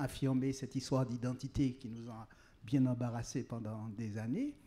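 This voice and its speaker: This man's voice has a dark, mellow tone, medium pitch and big swings in loudness. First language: Creole (speaking French). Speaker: writer. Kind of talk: panel discussion. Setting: outdoor tent at public event.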